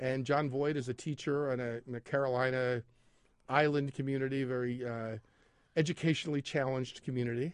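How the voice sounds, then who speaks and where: In a quiet background, a man with a plain, everyday voice speaks at a medium pitch and a fairly quick pace with fairly even intonation. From Philadelphia area. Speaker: arts and entertainment editor at a newspaper. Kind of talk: casual chat. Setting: studio.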